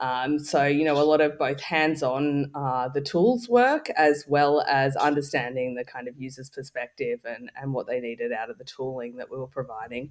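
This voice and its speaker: With an Australian accent, a fairly high-pitched man speaks at a moderate pace with hardly any pauses, ordinary pitch variation and big swings in loudness. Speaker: tech startup founder. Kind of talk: interview. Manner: halting.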